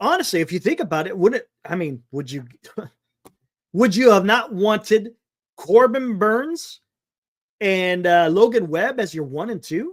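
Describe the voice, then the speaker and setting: A man talks loudly in an animated tone, high-pitched with very wide pitch swings, at a moderate pace with long, frequent pauses. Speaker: sports talk show host. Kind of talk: live stream sports talk. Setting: live stream. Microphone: audio distorting from yelling, mic moved away.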